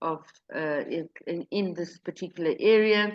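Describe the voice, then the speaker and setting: A woman speaks in a Portuguese accent. She goes at a very slow pace. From Mozambique. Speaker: real estate agent. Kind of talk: interview. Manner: halting.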